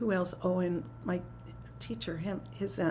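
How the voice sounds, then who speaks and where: A woman is speaking. Room echo is audible. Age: 70s. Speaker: spiritual teacher. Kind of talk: talk to a spiritual community. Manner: conversational.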